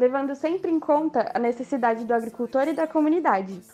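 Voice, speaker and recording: A woman's high-pitched voice moves at a moderate pace with ordinary pitch variation. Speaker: forestry student. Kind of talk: scripted promo.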